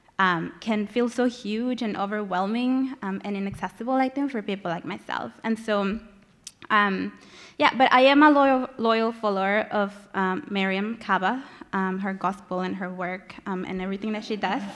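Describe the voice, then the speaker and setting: Against a quiet background, a woman speaks with a Spanish accent. Her medium pitch has ordinary pitch variation. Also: moderate pace. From Mexico, Monterrey. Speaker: community organizer, panelist. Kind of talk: prepared remarks read aloud. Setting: conference panel with audience. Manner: reading from notes.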